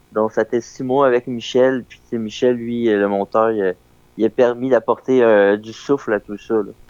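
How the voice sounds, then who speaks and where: In a dry, close recording with no echo, a man speaks at a moderate pace and medium pitch with monotone intonation and big swings in loudness. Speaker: documentary filmmaker. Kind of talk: radio interview. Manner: casual, halting.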